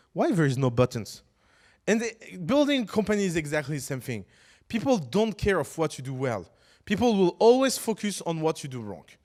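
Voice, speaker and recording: A man with a non-native accent and high pitch speaks at a moderate pace with very wide pitch swings, on a very clean recording with a silent background. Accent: foreign. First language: French. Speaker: startup teacher. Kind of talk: lecture. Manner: halting.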